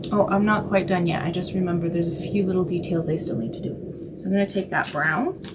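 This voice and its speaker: A quiet woman with a fairly low voice speaks very fast with hardly any pauses and fairly even intonation, amid noticeable background noise and audible room echo. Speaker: artist. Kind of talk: live-stream drawing tutorial. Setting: live stream.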